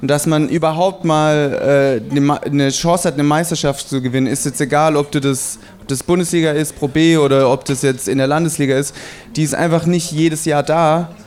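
Music plays behind a man with a fairly high pitch and very even loudness. He keeps a moderate pace and fairly even intonation. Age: 20s. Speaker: basketball player. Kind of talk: live podcast interview. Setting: live audience in a restaurant.

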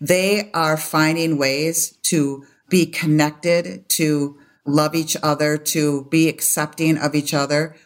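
A woman with an American accent, her pitch very deep and low, ordinary pitch variation, a very slow pace, and a very clean recording with a silent background. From US Midwest, Madison, Wisconsin. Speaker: attorney and education consultant. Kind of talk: interview.

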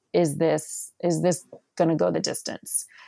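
A woman's voice with vocal fry, in a very clean recording over a silent background. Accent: American. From US Northeast, northern New Jersey. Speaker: higher education scholar and author. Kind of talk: interview. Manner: halting, many fillers.

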